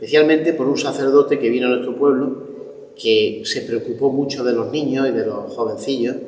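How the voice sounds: A man speaks at a moderate pace with a slightly mellow tone and fairly even intonation, and audible room echo surrounds his voice. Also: medium pitch for a man.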